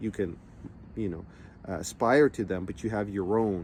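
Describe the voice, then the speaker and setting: A man's fairly low-pitched voice with a dark, mellow tone. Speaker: entrepreneurship coach. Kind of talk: motivational talk. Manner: casual, conversational with fillers.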